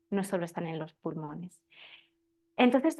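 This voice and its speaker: With a Spanish accent, a woman talks in very wide pitch swings. The background is quiet. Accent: Spain Spanish. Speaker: birth preparation teacher. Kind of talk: class talk. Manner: halting.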